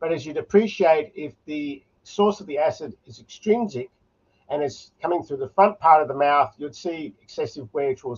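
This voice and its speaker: A man's fairly high voice with an Australian accent at a moderate pace, lively intonation and big swings in loudness. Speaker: oral medicine specialist. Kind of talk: conference lecture.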